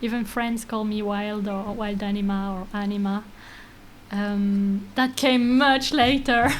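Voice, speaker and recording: Speaking at a fairly slow pace, a woman keeps her intonation fairly even while audible room echo surrounds her voice. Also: fairly high pitch for a woman. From France (Paris), of Greek descent. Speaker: sound artist. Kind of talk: interview conversation. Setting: studio. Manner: hesitant, many fillers.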